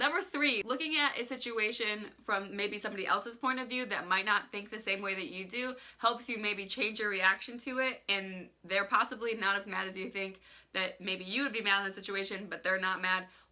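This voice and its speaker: Against noticeable background noise, a woman speaks fairly quickly in a fairly high pitch with ordinary pitch variation. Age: 20s. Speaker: lifestyle vlogger. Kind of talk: casual vlog talk.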